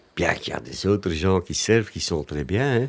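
Moderately paced speech over noticeable background noise. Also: man. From Flanders. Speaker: café regular. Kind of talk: casual chat. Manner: halting.

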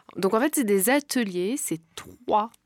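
A woman with a normal speaking voice, medium in pitch and lively in intonation. She talks at a fairly slow pace on a very clean recording with a silent background. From France. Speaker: podcast co-host. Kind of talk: personal testimony.

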